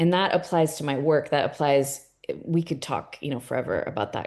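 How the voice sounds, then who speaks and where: A woman with a Californian accent speaks at a very deep, low pitch, her tone dark and mellow, with ordinary pitch variation. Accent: Californian American English. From California, US. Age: 40s. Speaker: art gallery owner. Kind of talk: casual interview conversation.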